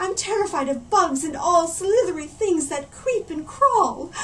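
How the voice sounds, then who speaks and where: Over clear background noise, a shrill put-on character voice moves at a moderate pace. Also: woman, extremely high pitch for a woman. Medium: read story. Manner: shrill, dramatic.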